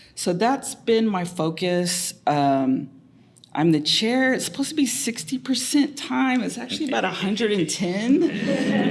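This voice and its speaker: A woman with an American accent speaks at a fairly slow pace with very wide pitch swings. Noticeable background noise runs underneath. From Muscogee Nation, Oklahoma. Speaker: professor, department chair. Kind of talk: panel self-introduction. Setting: university room with audience and mics.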